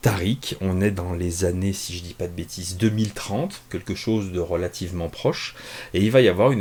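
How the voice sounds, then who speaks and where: A man with a very deep, low pitch and a dark, mellow tone speaks at a moderate pace, somewhat breathy, with ordinary pitch variation. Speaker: comics reviewer. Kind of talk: casual review monologue. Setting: home office. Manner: hesitant, many fillers; relaxed.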